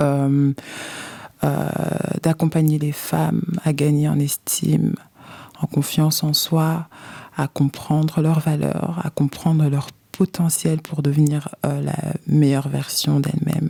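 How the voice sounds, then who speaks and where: This woman talks very slowly and often leaves long pauses. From Belgium, Brussels. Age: 30s. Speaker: life coach and author. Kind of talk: testimony. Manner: hesitant, many fillers.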